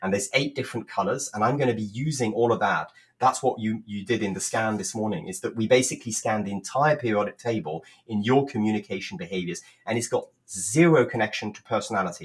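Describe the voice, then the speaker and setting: The voice is somewhat breathy and moves at a very fast pace. Its pitch varies in an ordinary way. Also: man, medium pitch for a man. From France. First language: French. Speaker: communication coach. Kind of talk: livestream presentation. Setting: live video stream.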